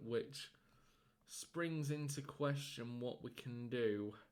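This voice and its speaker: The man's pace is very slow. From northern England, Rochdale area. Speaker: gaming commentator. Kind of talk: live game commentary. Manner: sometimes stumbling over words; animated.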